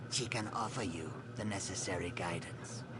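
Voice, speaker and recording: A man in a put-on character voice at a moderate pace, over loud background noise. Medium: game stream. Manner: formal, ceremonious.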